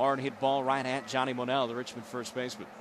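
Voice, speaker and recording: There is noticeable background noise as a man of medium pitch speaks at a moderate pace. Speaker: baseball play-by-play announcer. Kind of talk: baseball play-by-play broadcast call.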